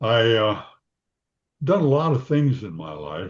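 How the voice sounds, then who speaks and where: A man speaks at a moderate pace with ordinary pitch variation and a somewhat breathy quality. The background is quiet. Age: 80s+. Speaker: psychologist. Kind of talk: interview. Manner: halting.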